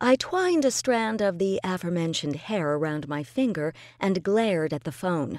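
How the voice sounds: The intonation comes across as lively. It is a natural reading voice.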